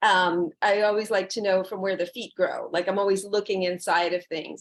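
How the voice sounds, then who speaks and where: A woman with fairly even intonation. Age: 60s. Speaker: massage therapist and yoga teacher. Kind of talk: interview.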